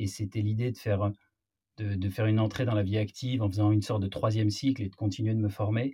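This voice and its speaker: On a very clean recording with a silent background, a man talks at a very fast pace. His somewhat breathy voice has a dark, mellow tone and a monotone, flat intonation. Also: fairly low pitch for a man. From Marseille, southern France. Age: 30s. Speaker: entrepreneur. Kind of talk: interview conversation. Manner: hesitant, frequent repetitions.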